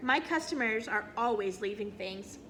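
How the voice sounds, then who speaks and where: Putting on a character voice, a woman speaks at a medium pitch and a moderate pace over clear background noise. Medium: read story.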